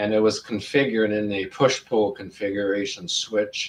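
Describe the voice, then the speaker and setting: This man speaks at a medium pitch and a fairly slow pace. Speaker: hobbyist electronics experimenter. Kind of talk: casual live stream chat. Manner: halting.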